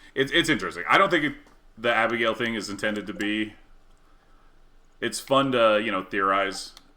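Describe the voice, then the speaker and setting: A man speaks at a moderate pace and medium pitch. His tone is bright and sharp. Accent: Canadian. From Canada. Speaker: video game streamer. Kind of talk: casual live-stream chat while gaming. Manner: rambling, halting with frequent fillers.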